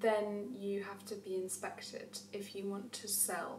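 A woman's voice comes through with audible room echo. Light background noise sits underneath. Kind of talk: casual vlog chat, Q&A answers. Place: kitchen. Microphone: camera far.

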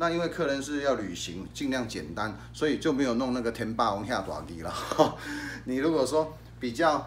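A man speaks with lively intonation. Light background noise is present. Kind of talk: product demo tutorial. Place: shop.

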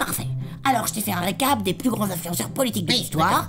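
A cartoonish character voice sits at a middle pitch and moves at a fairly quick pace. Loud music plays in the background. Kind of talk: comic puppet show. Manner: bossy, impatient, sardonic.

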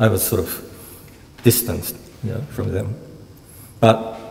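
This man speaks with a Japanese accent at a medium pitch and a moderate pace. His intonation is fairly even, and there is noticeable background noise. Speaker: university Japanese lecturer. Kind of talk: lecture. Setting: lecture hall with audience. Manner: humorous. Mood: relaxed, reminiscing. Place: hall. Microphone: podium.

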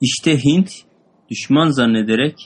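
Very slow pace with ordinary pitch variation. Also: man. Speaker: student reading text aloud. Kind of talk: reading aloud and explaining a text.

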